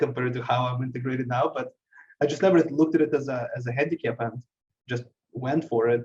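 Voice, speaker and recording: A man with a non-native accent, a medium pitch, a somewhat breathy voice, and a very fast pace. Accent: foreign. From abroad, emigrated to US at age 13. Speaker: IT business owner. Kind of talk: interview. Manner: halting, many repetitions.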